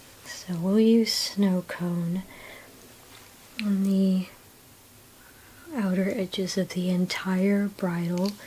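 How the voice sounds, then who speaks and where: A soft-spoken, calm voice moves at a very slow pace with long, frequent pauses. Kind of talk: ASMR drawing tutorial talk.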